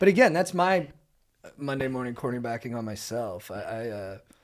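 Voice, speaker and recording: Medium in pitch, a man speaks with an American accent. His pitch swings very widely. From Southern California. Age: 30s. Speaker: comedian and actor. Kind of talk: casual chat.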